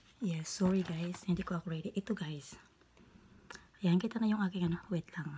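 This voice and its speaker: A woman speaks at medium pitch and a fairly quick pace, with fairly even intonation. Long pauses come frequently. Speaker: beauty vlogger. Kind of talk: tutorial. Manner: halting.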